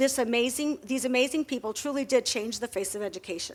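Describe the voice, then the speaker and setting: Very fast speech with ordinary pitch variation on a very clean recording with a silent background. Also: woman. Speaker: schoolteacher. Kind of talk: prepared talk at a library event.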